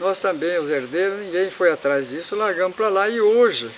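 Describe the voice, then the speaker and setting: A man with a high pitch keeps a moderate pace, with noticeable background noise behind him. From Paraná, Brazil. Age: 70s. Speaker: former city councillor. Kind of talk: interview answer, life story.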